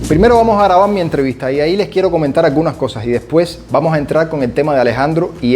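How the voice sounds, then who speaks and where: Over noticeable background noise, a man in a Cuban accent speaks at a very fast pace with ordinary pitch variation. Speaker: vlogger. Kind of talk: casual vlog narration.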